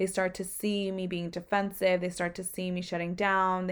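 The recording is very clean with a silent background. A woman speaks at a medium pitch with monotone, flat intonation. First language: not English. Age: 20s. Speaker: podcast host. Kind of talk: casual solo talk.

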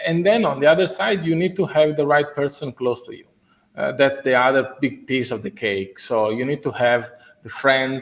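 A man with an Italian accent speaks at a moderate pace, his fairly high voice showing ordinary pitch variation and big swings in loudness. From Italy. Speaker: business executive. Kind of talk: interview. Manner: halting.

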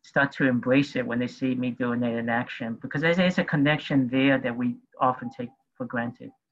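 An ordinary speaking voice from a man, medium in pitch, fairly quick in pace and fairly even in intonation. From New York City. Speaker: activist and community organizer. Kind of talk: panel discussion. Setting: video call.

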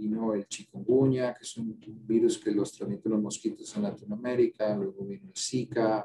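Loudness rises and falls sharply as the man talks. His pace is moderate. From Colombia, Cali. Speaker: infectious disease physician and professor. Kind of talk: interview. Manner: halting.

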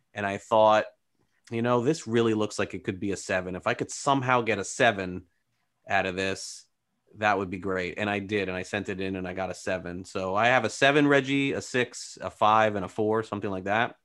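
Talking at a fairly quick pace, a man has an unremarkable speaking voice with a fairly low pitch and ordinary pitch variation. The recording is very clean, with a silent background. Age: 40s. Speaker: baseball reporter. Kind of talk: casual interview.

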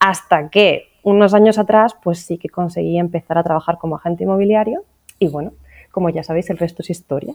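A woman with a fairly low pitch speaks at a fairly quick pace with ordinary pitch variation, the sound dry and close with no echo. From Asturias, northern Spain. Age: 30s. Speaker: real estate agent. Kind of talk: casual interview. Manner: halting.

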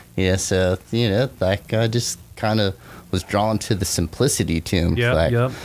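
With an American accent, a man talks at a moderate pace with ordinary pitch variation in a normal speaking voice. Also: fairly low pitch for a man. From Arizona. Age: 30s. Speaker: motorcycle mechanic and custom shop owner. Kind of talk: casual chat.

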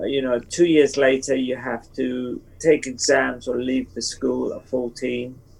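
Over noticeable background noise, a man with a medium pitch talks at a fairly slow pace with hardly any pauses, his intonation monotone and flat. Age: 70s. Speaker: book cover illustrator. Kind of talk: interview.

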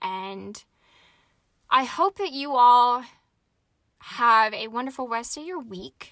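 A woman's high-pitched voice with lively intonation and a bright, sharp tone. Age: 20s. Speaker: podcast host and jet pilot. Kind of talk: solo podcast monologue. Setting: recording inside a parked jet. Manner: casual, with frequent fillers.

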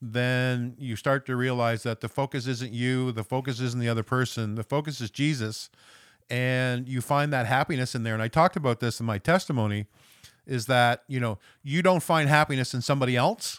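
A man with an Atlantic Canadian accent, medium pitch, ordinary pitch variation and a fairly quick pace, on a very clean recording with a silent background. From West Saint John, New Brunswick, Canada. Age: 50s. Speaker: recovery ministry member, charity manager. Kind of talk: personal testimony in conversation.

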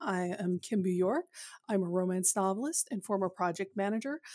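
The recording of a woman has a dry, close sound with no echo. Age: middle-aged. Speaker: romance novelist, podcast co-host. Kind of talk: casual chat. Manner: halting.

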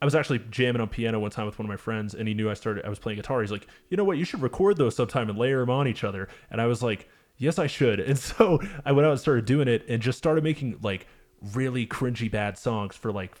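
This man talks at a very fast pace. His pitch is medium, with ordinary pitch variation. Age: 30s. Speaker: musician. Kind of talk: casual chat.

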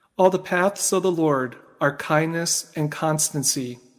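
He has a normal speaking voice, pitched fairly high for a man. His intonation stays fairly even. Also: very clean recording, silent background. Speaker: liturgical reader. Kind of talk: scripture reading aloud.

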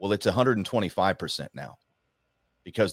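A man's fairly low-pitched, ordinary speaking voice with ordinary pitch variation, dry and close with no echo, on a very clean recording with a silent background. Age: 40s. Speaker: political commentator. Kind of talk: casual chat.

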